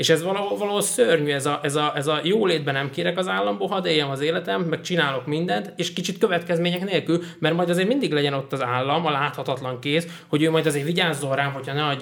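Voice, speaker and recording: Talking at a very fast pace with hardly any pauses, a man uses ordinary pitch variation. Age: 20s. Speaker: podcast host. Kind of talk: casual chat. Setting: studio.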